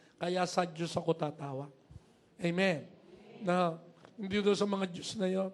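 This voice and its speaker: A high-pitched man's voice with fairly even intonation. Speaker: pastor. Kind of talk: sermon.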